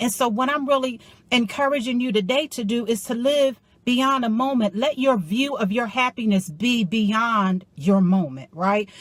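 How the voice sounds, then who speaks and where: A woman speaks in an animated tone. Her fairly high voice shows ordinary pitch variation. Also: moderate pace. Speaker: motivational life coach. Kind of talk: motivational talk.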